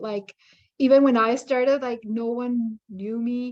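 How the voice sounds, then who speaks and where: At a fairly slow pace, a woman speaks with a non-native accent in a fairly high pitch. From outside Canada, newcomer. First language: not English. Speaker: independent curator. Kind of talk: workshop discussion.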